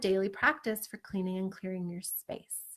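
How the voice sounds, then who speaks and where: A woman's animated tone at a fairly quick pace. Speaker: psychic and spiritual business coach. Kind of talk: teaching talk with guided energy exercise. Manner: fast.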